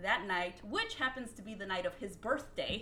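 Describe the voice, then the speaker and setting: A woman speaks with a fairly high pitch and lively intonation. Noticeable background noise and audible room echo are present. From Mexican-American family. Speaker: podcast co-host. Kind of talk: casual chat.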